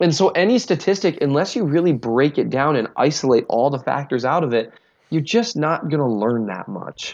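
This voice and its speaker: Fairly high-pitched male voice with very wide pitch swings, at a moderate pace. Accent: Minnesotan. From US Minnesota. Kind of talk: casual chat about football. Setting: remote call.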